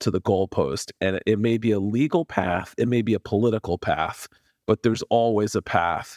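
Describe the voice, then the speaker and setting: Recorded dry and close with no echo, a man with a fairly low pitch talks at a moderate pace in a normal speaking voice, with ordinary pitch variation. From New York, with high school in Puerto Rico. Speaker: lawyer and law professor. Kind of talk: interview.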